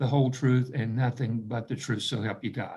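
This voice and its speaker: A man talks with an American accent in a somewhat breathy voice. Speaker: judge. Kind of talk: court hearing. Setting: video call. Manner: formal, with frequent fillers.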